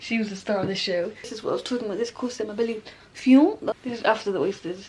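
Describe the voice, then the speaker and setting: Over noticeable background noise, a woman talks at a very fast pace with a fairly high pitch, ordinary pitch variation, and big swings in loudness. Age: 20s. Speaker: vlogger. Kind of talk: casual vlog chat.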